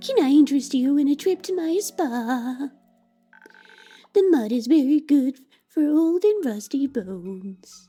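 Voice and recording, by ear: A female-sounding put-on character voice, high-pitched for a woman, at a fairly slow pace with long, frequent pauses. Faint music plays in the background.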